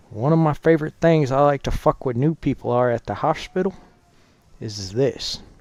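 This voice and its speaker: Pitched fairly high, a man's voice moves at a moderate pace with ordinary pitch variation. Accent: American. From Texas, Dallas. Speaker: gaming streamer, Marine veteran and hospital worker. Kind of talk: casual live-stream chat.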